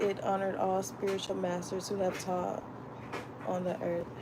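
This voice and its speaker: A woman's medium-pitched voice with an American accent and fairly even intonation, amid audible room echo and noticeable background noise. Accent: Florida accent, stronger when reading fast. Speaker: book club vlogger. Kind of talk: reading aloud.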